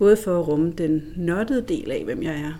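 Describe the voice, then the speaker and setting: A woman's fairly low, dark, mellow voice at a fairly slow pace. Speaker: lawyer. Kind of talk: interview. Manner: laughs loudly.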